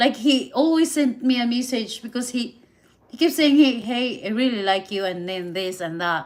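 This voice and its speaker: Speaking at a moderate pace with a Filipino accent, a woman uses a high pitch and lively intonation. Her loudness swings widely. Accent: Filipina. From Philippines. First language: Visayan and Tagalog. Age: 30s. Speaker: live streamer. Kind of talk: casual live stream chat. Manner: halting, repetitive.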